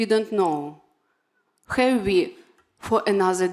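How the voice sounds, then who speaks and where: A woman with a Ukrainian accent speaks at a very slow pace. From Ukraine. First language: Ukrainian or Russian. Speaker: patient advocate and award recipient. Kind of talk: award acceptance speech. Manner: halting, non-fluent English.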